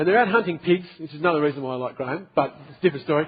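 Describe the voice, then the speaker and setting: A man with an Australian accent, a very fast pace and lively intonation. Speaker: pastor. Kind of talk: sermon to a youth group. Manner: casual, storytelling.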